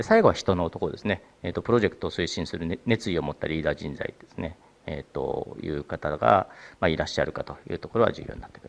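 Talking at a very fast pace, a man swings widely in loudness. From Japan. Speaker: venture capital partner; presenter. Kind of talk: presentation. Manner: halting with many fillers; formal. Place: hall.

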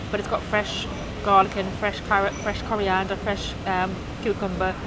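A woman talks at a moderate pace as noticeable noise runs in the background. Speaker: travel vlogger. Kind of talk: casual vlog chat. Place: market. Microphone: phone near.

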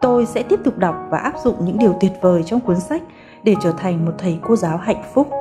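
With music in the background, a woman speaks fairly quickly at a medium pitch with lively intonation. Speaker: school academic advisor. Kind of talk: author reading her own book preface.

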